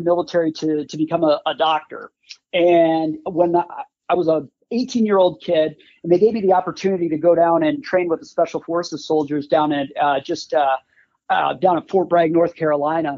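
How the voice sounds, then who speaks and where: A man with an Upper Midwest US accent talks at a fairly quick pace. His high pitch shows ordinary variation. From Wisconsin, Green Bay. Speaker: former combat medic, first aid kit maker. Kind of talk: casual interview.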